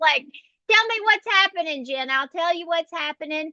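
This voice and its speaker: Her tone comes across bright and sharp. The woman uses a raised, projected voice. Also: dry, close sound with no echo. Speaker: astrologer. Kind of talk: horoscope forecast monologue. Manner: casual, with fillers.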